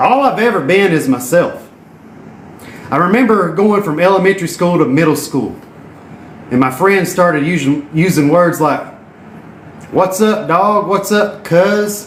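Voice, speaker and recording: With a Southern US accent, a man speaks fairly slowly at a high pitch with lively intonation, very even loudness and long, frequent pauses, amid audible room echo and noticeable background noise. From Tennessee. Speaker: entrepreneur and network marketer. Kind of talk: motivational live stream talk. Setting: live video while exercising. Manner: animated.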